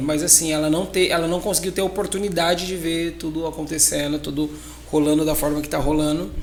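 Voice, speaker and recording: The man's voice sits fairly high and moves at a fairly quick pace. Noticeable background noise and audible room echo surround it. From Brazil, São Paulo state (Ribeirão Preto). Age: 30s. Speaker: magician and circus entrepreneur. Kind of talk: podcast interview.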